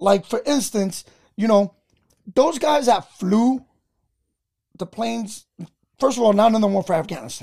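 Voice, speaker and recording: In an American accent, the speaker uses a dark, mellow tone and ordinary pitch variation at a moderate pace, with long, frequent pauses. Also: man, high pitch for a man. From New York. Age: 40s. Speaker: army veteran and comedian. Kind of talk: casual chat.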